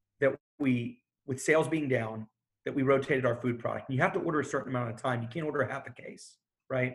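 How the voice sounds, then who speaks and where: At a fairly quick pace, a man talks in a medium pitch that sounds somewhat breathy. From Houston, Texas. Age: 30s. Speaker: bar and restaurant owner. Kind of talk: interview conversation.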